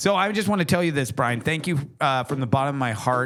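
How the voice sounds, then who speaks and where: A fairly high-pitched man in an animated tone, with an American accent and very wide pitch swings, over noticeable background noise. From US West Coast. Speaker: podcast host. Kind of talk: casual chat.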